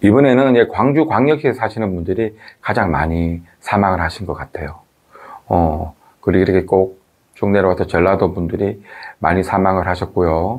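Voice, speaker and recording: Speaking at a moderate pace, a man with a very deep, low voice uses lively intonation. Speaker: video commentator. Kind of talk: talk-to-camera commentary. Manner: hesitant, many fillers.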